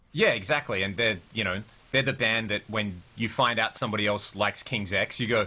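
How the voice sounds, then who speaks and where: The speaker talks at a fairly quick pace with an Australian accent and ordinary pitch variation. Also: man, fairly low pitch for a man. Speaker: rock guitarist. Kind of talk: casual interview chat.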